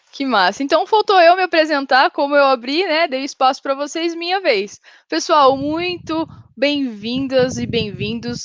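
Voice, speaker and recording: This woman speaks at a high pitch. She has an interior São Paulo accent. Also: lively intonation, fairly slow pace. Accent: caipira rhotic R of interior São Paulo. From interior of São Paulo state, Brazil. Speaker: software developer, panel moderator. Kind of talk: conference panel hosting.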